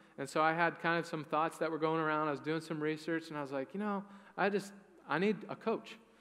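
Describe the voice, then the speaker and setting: Very fast and bright, a man talks in a sharp, fairly high voice. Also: fairly even intonation. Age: 20s. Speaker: pastor. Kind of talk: sermon. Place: church. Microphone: headset.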